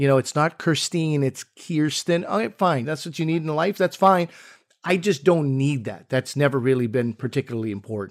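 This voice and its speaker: A man speaks at a moderate pace with a fairly high pitch and lively intonation, in a normal speaking voice. The sound is dry and close with no echo, on a very clean recording with a silent background. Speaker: comedian co-host. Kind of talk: casual comedic podcast banter.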